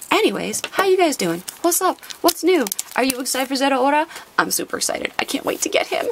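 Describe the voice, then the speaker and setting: Over noticeable background noise, a woman talks at a very fast pace in an animated tone, her high pitch making very wide swings. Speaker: trading card unboxing youtuber. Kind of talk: casual chat.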